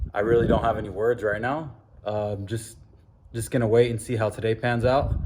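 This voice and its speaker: This voice belongs to a man. There is a somewhat breathy quality to it. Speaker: car enthusiast vlogger. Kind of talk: casual vlog. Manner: shaky; halting.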